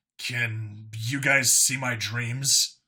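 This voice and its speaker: A man's put-on character voice at a medium pitch. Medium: read story. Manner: blunt, direct.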